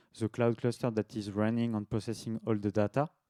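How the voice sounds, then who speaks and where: The voice has a dark, mellow tone and a slight French accent. The sound is dry and close, with no echo. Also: man. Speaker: devops engineer, conference speaker. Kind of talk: tech talk presentation; casual Q&A in French. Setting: meetup talk to live audience. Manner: halting, many filler sounds.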